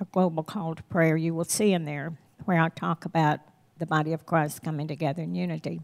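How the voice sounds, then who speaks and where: Recorded very cleanly with a silent background and a dry, close sound with no echo, a woman with a Southern US accent speaks at a fairly low pitch with fairly even intonation. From US South. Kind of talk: sermon.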